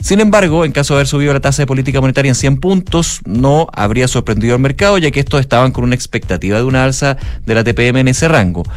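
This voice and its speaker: A man at a very fast pace with hardly any pauses, medium pitch, lively intonation and very even loudness, music in the background. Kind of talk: news reading.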